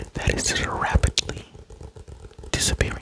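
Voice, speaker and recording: Noticeable noise surrounds a man's whispering. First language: not English. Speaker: ASMR creator. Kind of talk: ASMR show-and-tell. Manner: soft-spoken.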